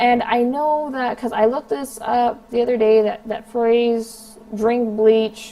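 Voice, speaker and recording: A woman's fairly high, dark, mellow voice at a fairly slow pace with fairly even intonation. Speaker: commentary YouTuber. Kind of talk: vlog monologue. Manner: hesitant, many ums.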